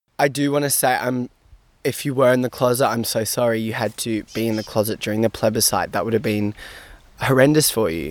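Fairly quick speech from a man, pitch varying in an ordinary way. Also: medium pitch for a man, very clean recording, silent background. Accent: Australian. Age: young. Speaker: university student. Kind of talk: interview.

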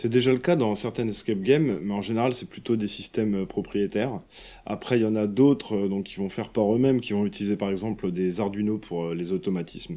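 At a fairly quick pace, a man speaks in a dark, mellow tone. His voice is fairly low, with ordinary pitch variation. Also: quiet background. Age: 30s. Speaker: escape game owner. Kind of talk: interview.

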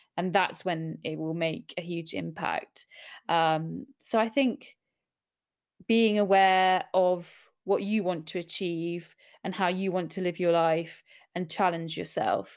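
Very slowly, a woman with a southern English accent speaks at a fairly low pitch with ordinary pitch variation. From Middle East (Bahrain, Abu Dhabi), then Surrey, England. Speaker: journalist and podcast host. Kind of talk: interview. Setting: remote online call.

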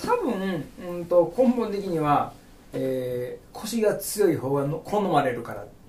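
Over noticeable background noise and audible room echo, a man with a high voice and a Kagawa accent speaks at a fairly slow pace, his pitch swinging very widely and his loudness shifting greatly. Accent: Sanuki (Kagawa) dialect. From Kagawa, Japan (Kotohira). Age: 40s. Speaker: udon shop owner. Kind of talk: casual interview.

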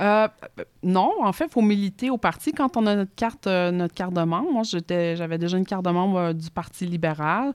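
A woman with a Quebec accent talks fairly quickly at medium pitch, with ordinary pitch variation. The sound is dry and close with no echo, in a very clean recording with a silent background. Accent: Québécois French. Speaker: politician. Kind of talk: interview. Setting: studio.

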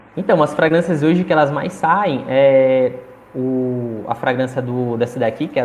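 A man talks at a moderate pace and a medium pitch, with ordinary pitch variation. Noticeable background noise sits behind him. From Maranhão, Brazil (Chapadinha). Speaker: small business owner. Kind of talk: live stream interview. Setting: live stream.

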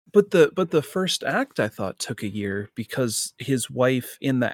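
Recorded very cleanly against a silent background, a plain, everyday voice moves at a fairly slow pace with a dry, close sound and no echo. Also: man. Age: 20s. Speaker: podcast co-host. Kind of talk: casual chat. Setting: home room.

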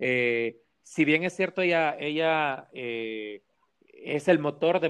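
The background is quiet. A man speaks with a Salvadoran accent at a fairly high pitch. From El Salvador. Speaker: organizational communication professional. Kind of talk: casual interview.

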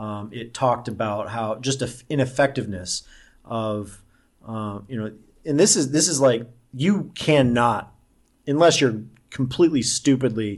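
In an unremarkable speaking voice with an American accent, someone talks at a moderate pace with ordinary pitch variation against a quiet background. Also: man. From US Midwest, Omaha, Nebraska. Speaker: online marketer and centrist organizer. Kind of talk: casual interview.

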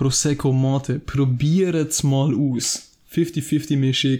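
Speaking at a very slow pace, a man with a fairly high pitch uses a dark, mellow tone and monotone, flat intonation. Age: 20s. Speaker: podcast co-host, student. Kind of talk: casual chat. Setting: at his home.

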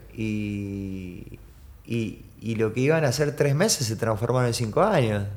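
Someone with a Rioplatense accent speaks with ordinary pitch variation amid audible room echo. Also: man, medium pitch for a man, fairly slow pace. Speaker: skateboarder and photographer. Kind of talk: casual chat. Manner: halting.

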